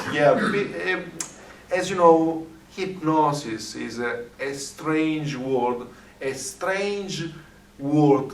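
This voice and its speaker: Amid audible room echo, a man with an Italian accent speaks at a very slow pace in a fairly high pitch with lively intonation. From Italy. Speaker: hypnotist. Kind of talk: interview conversation. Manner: halting, many fillers.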